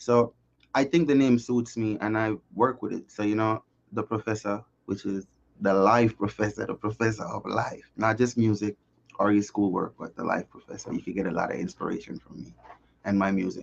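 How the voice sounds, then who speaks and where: A man speaks with a Jamaican accent at a fairly quick pace. His pitch is fairly low. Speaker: singer-songwriter. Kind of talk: interview.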